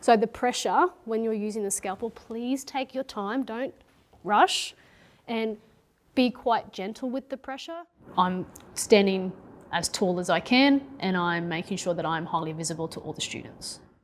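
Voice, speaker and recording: On a very clean recording with a silent background, a woman speaks with an Australian accent. Her fairly high voice moves at a moderate pace with lively intonation. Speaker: secondary school science teacher. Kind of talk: classroom teaching mixed with interview commentary. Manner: assertive, projected.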